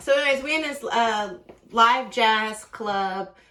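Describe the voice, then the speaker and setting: Animated and fairly high-pitched, a woman speaks in a bright, sharp tone. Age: 30s. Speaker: dating vlogger. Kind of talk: casual storytelling vlog. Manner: fast.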